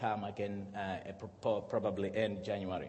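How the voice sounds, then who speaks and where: There is audible room echo around a man speaking at a fairly slow pace. His voice is somewhat breathy. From Zimbabwe and Malawi. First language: Shona / Chichewa. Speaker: pastor. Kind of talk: sermon. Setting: church.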